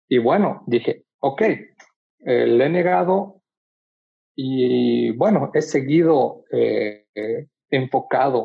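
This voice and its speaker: The man speaks at a medium pitch. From Bolivia. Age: young. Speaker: photographer. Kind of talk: casual chat.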